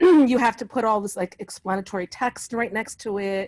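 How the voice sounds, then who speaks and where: This woman's voice sits fairly high in pitch and is somewhat breathy. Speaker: conversation participant on a video call. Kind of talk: casual, conversational. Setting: online video call. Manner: rambling, uses many fillers like "like" and "you know".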